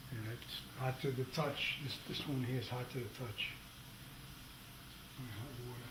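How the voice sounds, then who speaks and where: A man at a medium pitch speaks in a monotone, flat way at a moderate pace, leaving long, frequent pauses. Audible room echo and noticeable background noise surround his voice. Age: 70s. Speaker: DIY home repair video maker. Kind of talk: tutorial. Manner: halting, repeats words.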